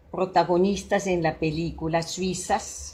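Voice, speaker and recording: A woman with a Swiss accent speaks in a fairly low voice. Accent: non-native Spanish, Swiss. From Switzerland. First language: Swiss German (speaking Spanish). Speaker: psychologist and psychodramatist. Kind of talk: talk to an audience. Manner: halting, with fillers.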